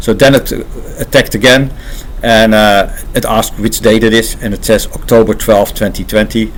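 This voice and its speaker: In a Dutch accent, a man talks at a moderate pace with medium pitch and monotone, flat intonation. Noticeable background noise sits behind him. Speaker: AI engineer and channel host. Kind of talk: casual unscripted talk to camera. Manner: halting, many filler pauses.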